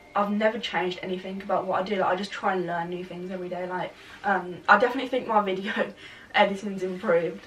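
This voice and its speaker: A woman at a medium pitch, very fast pace and fairly even intonation, with big swings in loudness and noticeable background noise. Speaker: videographer and brand owner. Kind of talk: interview.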